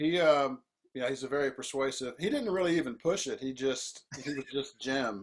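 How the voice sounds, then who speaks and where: A man speaks in a normal speaking voice with an American accent, fairly high in pitch. His pace is moderate and his pitch variation ordinary. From US South. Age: 60s. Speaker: composer and band leader. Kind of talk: interview.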